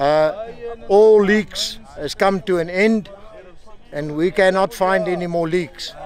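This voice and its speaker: A man's high-pitched voice at a fairly slow pace, ordinary pitch variation, dry sound with no echo, and noticeable background noise. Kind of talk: on-site report to camera. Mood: satisfied, upbeat. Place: open country.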